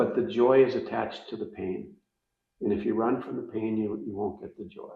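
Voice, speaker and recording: Fairly quick in pace, a man speaks with big swings in loudness. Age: 60s. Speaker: faith-based parenting guest. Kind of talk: casual interview chat.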